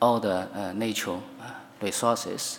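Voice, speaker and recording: A man with a Chinese accent talks at a moderate pace, his fairly low pitch varying in an ordinary way. Audible room echo surrounds the voice. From China. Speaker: law professor. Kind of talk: conference talk. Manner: halting, many fillers.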